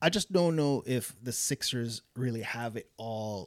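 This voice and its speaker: An ordinary speaking voice with lively intonation moves at a fairly slow pace on a very clean recording with a silent background. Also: man. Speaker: podcast co-host. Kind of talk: casual chat.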